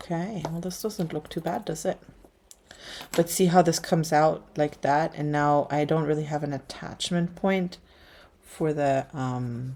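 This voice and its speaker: Speaking fairly slowly with a slight German accent, a woman has a very deep, low pitch, a dark, mellow tone and ordinary pitch variation. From Germany. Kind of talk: livestream craft tutorial chat. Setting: livestream at work table. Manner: casual, hesitant with fillers.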